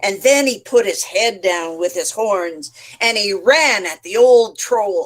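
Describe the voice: The words are read aloud plainly.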